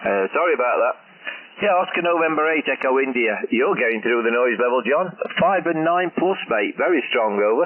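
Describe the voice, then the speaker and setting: There is noticeable background noise as a man talks at a fairly quick pace. His fairly high voice has lively intonation and very even loudness. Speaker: amateur radio operator. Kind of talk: ham radio contact. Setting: radio link.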